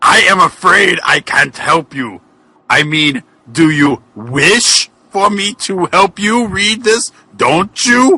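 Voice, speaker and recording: In a put-on character voice, the speaker bellows at a very slow pace. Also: man, high pitch for a man. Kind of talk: comic overacting. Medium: read story. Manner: bitter, devilish, falsely sincere.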